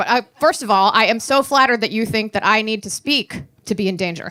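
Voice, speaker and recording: A woman talks at a fairly quick pace with a fairly high pitch and very wide pitch swings. Noticeable background noise sits behind her. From Maryland. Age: 40s. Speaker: stand-up comedian. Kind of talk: live stand-up comedy set. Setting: live venue with audience. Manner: sardonic, angry joy.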